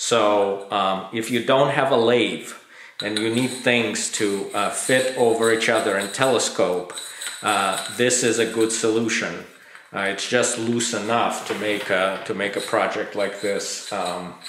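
A man talks with fairly even intonation. Audible room echo and light background noise surround his voice. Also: fairly slow pace. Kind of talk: tutorial. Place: workshop.

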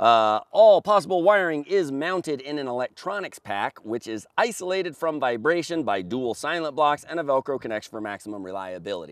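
This man's voice swings very widely in pitch. The sound is dry with no echo, over a quiet background. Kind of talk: product presentation. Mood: confident, upbeat sales tone. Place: open country.

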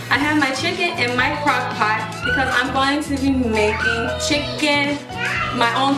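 Clear music sits in the background while a woman speaks at a moderate pace with ordinary pitch variation. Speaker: home cook vlogger. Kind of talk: cooking tutorial chat. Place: kitchen.

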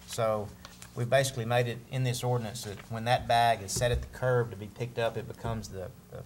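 With a Southern US accent, a man talks at a very fast pace and a medium pitch. Light background noise can be heard. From US South. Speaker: city alderman. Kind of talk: council debate. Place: meeting room.

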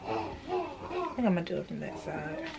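Clear music can be heard in the background. Over it, a woman talks. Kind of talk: think-aloud sewing tutorial. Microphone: camera far.

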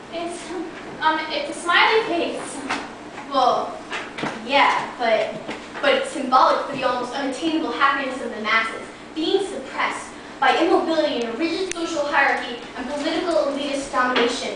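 There is strong room echo and noticeable background noise as a woman talks in a raised, projected voice. Her pace is moderate, with ordinary pitch variation. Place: home room. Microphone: camera far.

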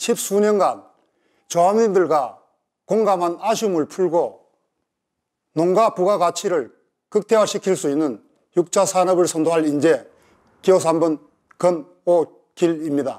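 Against a quiet background, a man speaks at a very slow pace with long, frequent pauses. His pitch is high, with ordinary pitch variation. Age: 60s. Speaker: election candidate. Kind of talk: campaign speech. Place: office.

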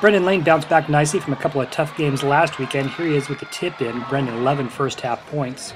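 Over noticeable background noise, a man speaks fairly quickly at a fairly high pitch with ordinary pitch variation. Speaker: sports commentator. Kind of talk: sports highlight recap narration, play-by-play. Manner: brisk, energetic, upbeat play-by-play delivery.

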